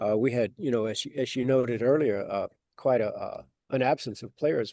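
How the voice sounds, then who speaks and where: At a moderate pace, a man talks with a medium pitch and fairly even intonation, the sound dry and close with no echo against a quiet background. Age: 60s. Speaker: author. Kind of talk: interview. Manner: halting.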